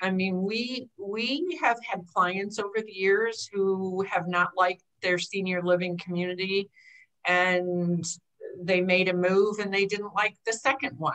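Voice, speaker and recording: A woman speaks in a normal speaking voice at a medium pitch with fairly even intonation. She talks at a fairly slow pace against a quiet background. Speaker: aging life care manager; panelist. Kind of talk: panel discussion. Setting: video call. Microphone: webcam.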